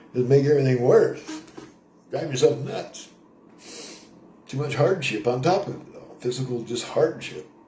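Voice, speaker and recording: Someone speaks at a moderate pace with long, frequent pauses, and the room echo is audible. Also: man, fairly high pitch for a man, ordinary pitch variation, big swings in loudness. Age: 60s. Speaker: vlogger on a spiritual pilgrimage. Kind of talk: casual spoken monologue to camera. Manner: rambling with frequent fillers.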